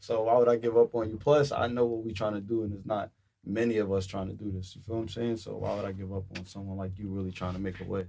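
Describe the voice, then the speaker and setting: A man with a New York accent talks at a very fast pace, with hardly any pauses. His fairly low voice has a dark, mellow tone and fairly even intonation. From Brooklyn, New York. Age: young. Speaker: cannabis entrepreneur. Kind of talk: casual chat.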